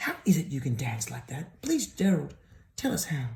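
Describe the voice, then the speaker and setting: A man uses a put-on character voice at a fairly high pitch. He keeps a moderate pace. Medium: read story.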